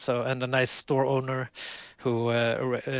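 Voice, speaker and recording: In a Swedish accent, a man talks at medium pitch. His pace is fairly slow. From southern Sweden. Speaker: podcast co-host, card game player. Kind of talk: casual podcast chat. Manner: halting, many fillers.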